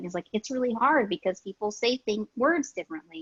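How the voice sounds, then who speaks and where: In a dry, close sound with no echo, a woman with a fairly high pitch speaks with lively intonation. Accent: Midwestern. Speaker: webinar host. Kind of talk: panel webinar discussion. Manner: animated.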